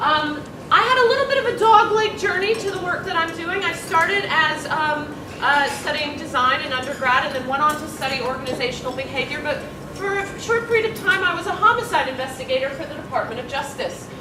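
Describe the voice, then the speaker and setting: A woman with an American accent speaks at a fairly quick pace in an extremely high, raised, projected voice with very wide pitch swings. There is noticeable background noise and audible room echo. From USA. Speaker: workplace consultant, conference speaker. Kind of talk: conference presentation. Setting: room with audience, no microphone. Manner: loud. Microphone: no microphone.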